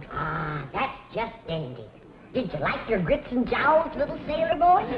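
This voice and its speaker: A woman's put-on character voice, high-pitched, with very wide pitch swings, a moderate pace and clear background noise. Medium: short film. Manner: brisk, tart.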